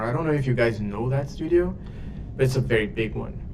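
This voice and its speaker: A man speaks at a medium pitch with a Brazilian Portuguese accent. The recording has noticeable background noise and audible room echo. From Brazil, São Paulo. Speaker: 3D character artist. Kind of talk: casual livestream chat. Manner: halting, many fillers.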